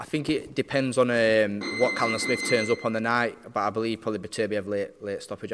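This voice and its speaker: A man speaks in a South Yorkshire accent. His pace is fairly quick. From South Yorkshire, Barnsley. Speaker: professional boxer. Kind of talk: interview. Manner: halting.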